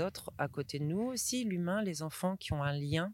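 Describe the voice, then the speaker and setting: A woman's voice in a very clean recording with a silent background, dry and close with no echo. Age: 30s. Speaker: school director and early childhood educator. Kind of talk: interview. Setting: outdoors at the edge of a forest.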